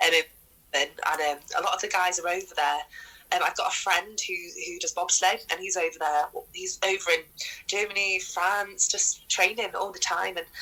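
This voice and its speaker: A woman talks at a moderate pace. Background music plays under her voice. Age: 20s. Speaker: rugby league player and former soldier. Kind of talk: podcast interview.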